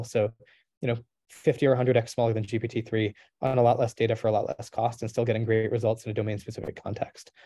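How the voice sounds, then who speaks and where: Against a quiet background, a man talks very fast at medium pitch, his tone dark and mellow and somewhat breathy. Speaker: AI startup chief scientist, guest lecturer. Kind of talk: lecture Q&A.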